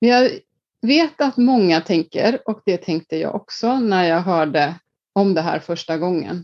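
A woman speaks with an Icelandic accent. Her pace is fairly slow and her intonation lively. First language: Icelandic (speaking Swedish). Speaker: leadership coach. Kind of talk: casual interview.

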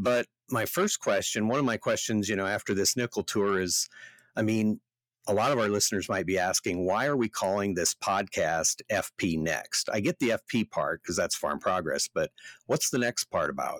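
A man with a Midwestern US accent at a moderate pace, very even in loudness, on a very clean recording with a silent background and a dry, close sound with no echo. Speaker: podcast co-host, farm magazine editor, farmer. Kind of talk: casual chat.

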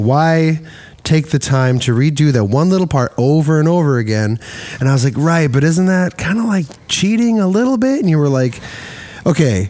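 Speaking at a moderate pace with a Midwestern American accent, a man with a fairly high pitch makes very wide pitch swings over noticeable background noise. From US Midwest. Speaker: podcast host. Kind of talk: casual interview. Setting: recording studio.

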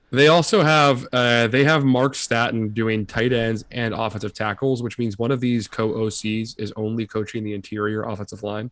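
A man with an ordinary speaking voice talks at a moderate pace and medium pitch, with fairly even intonation and hardly any pauses. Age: 20s. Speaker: college football podcast co-host. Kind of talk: casual chat.

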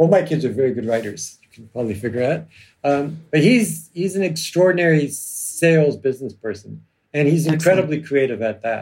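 A somewhat breathy man with a Canadian accent, very fast pace and lively intonation. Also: fairly high pitch for a man. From Canada, Toronto. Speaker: criminal lawyer and novelist. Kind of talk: casual chat. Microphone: audio track problems.

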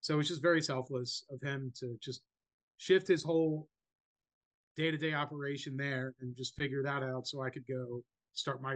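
This man has a normal speaking voice of medium pitch, moving at a moderate pace with fairly even intonation. His loudness swings a lot, and the sound is dry and close, with no echo. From New Jersey. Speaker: chef and restaurant owner. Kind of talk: interview.

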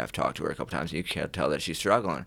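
Vocal fry marks this man's voice, heard in an American accent. The recording is very clean with a silent background. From small-town US. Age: 30s. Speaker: person in addiction recovery. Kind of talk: personal testimony in interview. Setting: studio. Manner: halting, many fillers.

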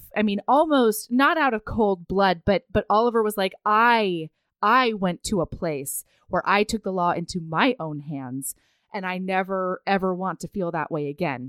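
A normal speaking voice, this woman's medium-pitched delivery has lively intonation and sounds dry and close with no echo. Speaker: romance novel podcast host. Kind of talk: casual chat.

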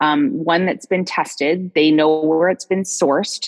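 A woman speaks at a fairly slow pace, the sound dry and close with no echo. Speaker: essential oils consultant and former nurse. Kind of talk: casual interview chat. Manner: halting.

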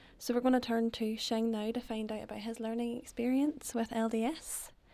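A woman speaks at a moderate pace with fairly even intonation and a fairly high pitch. She has an unremarkable speaking voice. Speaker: student podcast host. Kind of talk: interview.

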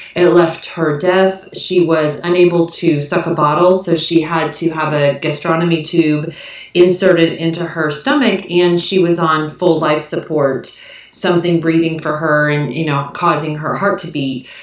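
A woman with an American accent, fairly low-pitched and monotone with flat intonation, at a moderate pace over noticeable background noise. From US Midwest. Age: 40s. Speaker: author.

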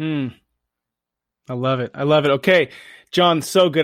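An unremarkable speaking voice from a man, fairly high in pitch and fairly quick in pace, on a very clean recording with a silent background. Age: 30s. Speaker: podcast host. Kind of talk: casual chat.

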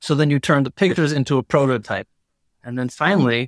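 A man with an American accent speaks at a very fast pace with ordinary pitch variation, in a very clean recording with a silent background. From USA. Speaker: spirits brand founder. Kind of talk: casual interview.

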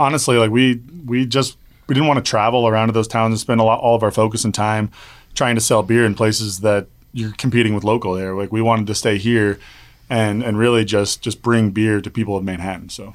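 A man with a Midwestern American accent and fairly even intonation, at a fairly quick pace, in a very clean recording with a silent background. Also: medium pitch for a man. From Kansas (Wichita). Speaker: brewery co-owner. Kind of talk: casual interview.

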